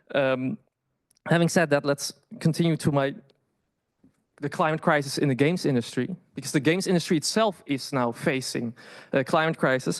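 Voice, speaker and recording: Against a quiet background, a man with a Dutch accent speaks at a fairly high pitch with ordinary pitch variation and long, frequent pauses. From Netherlands. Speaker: PhD candidate. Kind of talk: conference presentation. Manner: halting, many fillers and restarts.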